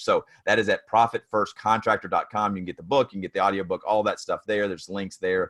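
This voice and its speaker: In a Tennessee accent, a man speaks with a fairly low pitch. The sound is dry and close, with no echo. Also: very clean recording, silent background. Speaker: construction business consultant and author. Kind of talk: podcast interview.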